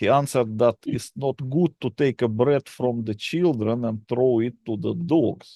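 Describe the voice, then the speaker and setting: A man speaks at a medium pitch and fairly slow pace in a dark, mellow tone, with ordinary pitch variation and hardly any pauses. The sound is dry and close, with no echo. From Russia. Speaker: channel host, conspiracy author. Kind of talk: casual chat. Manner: halting.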